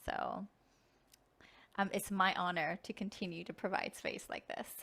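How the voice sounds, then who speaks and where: Moderate pacing broken by long, frequent pauses. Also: woman. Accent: non-native. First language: not English. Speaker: spiritual channeler leading group meditation. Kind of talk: online group sharing circle.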